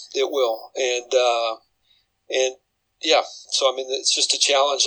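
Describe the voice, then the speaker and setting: A man with a Midwestern US accent at a moderate pace. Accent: US Midwest. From Iowa. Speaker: college football head coach. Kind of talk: interview.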